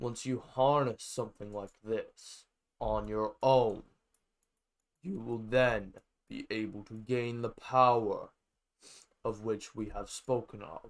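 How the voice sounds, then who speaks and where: A man does a put-on character voice at medium pitch. He goes at a fairly slow pace with long, frequent pauses, on a very clean recording with a silent background. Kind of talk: villainous pirate drawl. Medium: machinima. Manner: silky, scheming, grandiose.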